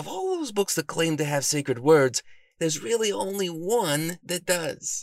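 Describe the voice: A man puts on a character voice, fairly high in pitch with vocal fry and big pitch swings. He talks at a fairly slow pace.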